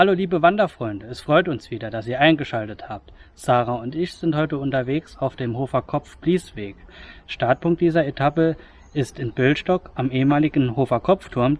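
With ordinary pitch variation, a man's speech unfolds at a moderate pace. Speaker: hiking vlogger. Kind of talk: casual vlog chat. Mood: cheerful, relaxed. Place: forest. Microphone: phone near.

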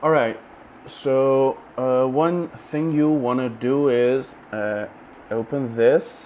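A man is speaking with ordinary pitch variation. There is light background noise. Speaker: tech reviewer. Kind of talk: tutorial. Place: home room. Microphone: lapel.

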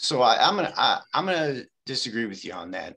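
A man with a Chicago accent and a bright, sharp tone against a quiet background. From Chicago, Back of the Yards. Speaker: meeting attendee. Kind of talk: debate. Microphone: video call.

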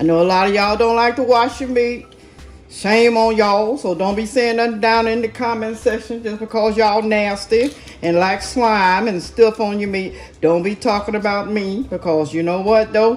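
A woman at a moderate pace, her intonation fairly even, with faint music in the background. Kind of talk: casual cooking tutorial chat. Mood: playful, sassy. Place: kitchen. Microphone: phone near.

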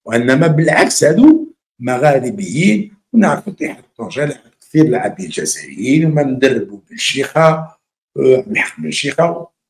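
At a moderate pace, a man talks with lively intonation and vocal fry. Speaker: journalist commentator. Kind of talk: political commentary. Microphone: webcam.

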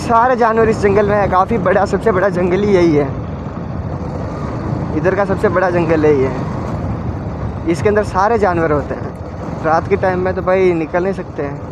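A man's high voice with ordinary pitch variation, at a moderate pace broken by long, frequent pauses, over clear background noise.

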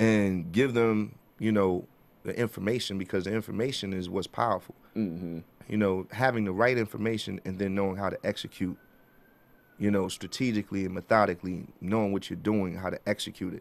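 Someone with a New York accent speaks at a fairly quick pace with fairly even intonation. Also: man, fairly low pitch for a man. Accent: New York (Bronx). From New York City, the Bronx. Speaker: music executive and artist manager; interview guest. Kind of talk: interview. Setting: studio. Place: studio. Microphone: studio mic.

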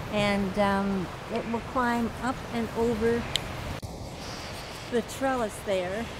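At a slow pace, a woman with a fairly high pitch speaks in fairly even intonation over clear background noise.

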